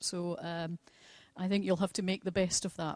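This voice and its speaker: A woman speaks with a Scottish accent. The sound is dry and close with no echo, over a quiet background. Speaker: presenter at a ceremony. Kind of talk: formal public speaking.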